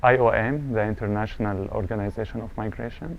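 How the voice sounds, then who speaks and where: A man with an Arabic accent talks very fast at a medium pitch, his intonation fairly even. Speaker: refugee business owner. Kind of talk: interview testimony.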